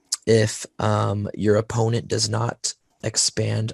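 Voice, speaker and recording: The sound is dry and close, with no echo. A man talks at a very slow pace. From US South. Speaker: tabletop wargaming podcast co-host. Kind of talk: casual podcast discussion.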